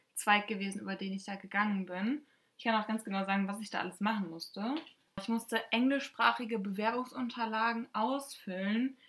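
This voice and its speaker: A woman speaks at a moderate pace with a somewhat breathy, medium-pitched voice. Her intonation stays fairly even. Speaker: podcast co-host, former exchange student. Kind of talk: casual chat.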